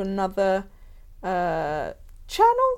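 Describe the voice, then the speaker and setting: A woman speaks with a German accent. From Germany. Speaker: podcast host. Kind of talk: casual interview chat.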